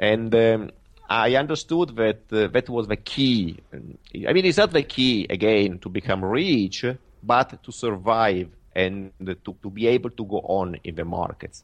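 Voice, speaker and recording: A man talks with an Italian accent. His intonation is lively, and the background is quiet. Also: fairly low pitch for a man, fairly slow pace. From Italy. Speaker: professional trader. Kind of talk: interview. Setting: remote call. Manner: halting.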